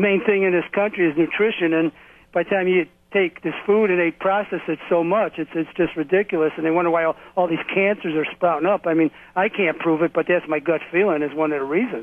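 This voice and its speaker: Very fast speech comes from a man with a high pitch. His intonation stays fairly even. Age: 60s. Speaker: caller, Vietnam-era Air Force veteran. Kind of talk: casual chat. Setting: phone call. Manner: halting, many fillers.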